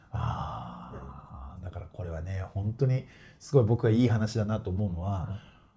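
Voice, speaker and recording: A man's fairly low voice at a fairly slow pace, with very wide pitch swings. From Ibaraki, Japan. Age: 40s. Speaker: football club president. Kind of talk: casual interview.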